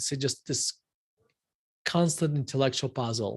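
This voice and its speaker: Somewhat breathy and fairly high in pitch, a man's voice shows ordinary pitch variation over a quiet background. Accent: Russian. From Russia. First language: Russian. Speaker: investment firm CEO. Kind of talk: interview. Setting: live stream.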